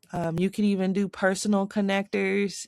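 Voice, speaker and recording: The recording is very clean, with a silent background. A woman with a slight Southern accent speaks at a medium pitch with fairly even intonation. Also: dry, close sound with no echo. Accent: slight southern twang. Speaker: tech tutorial creator. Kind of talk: screen-recorded tutorial. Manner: casual, with fillers.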